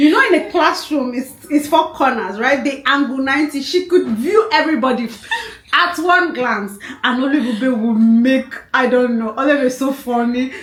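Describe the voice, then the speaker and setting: With noticeable background noise behind her, a woman speaks in a high pitch at a moderate pace, her tone animated and her pitch variation ordinary. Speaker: podcast guest, longtime friend of host. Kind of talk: casual chat.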